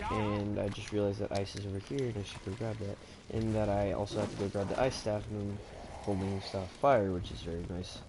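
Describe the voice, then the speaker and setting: Somewhat breathy, a man with a fairly low pitch speaks in monotone, flat intonation with audible room echo. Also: fairly quick pace. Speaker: gaming streamer. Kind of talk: live gameplay commentary. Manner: halting; casual.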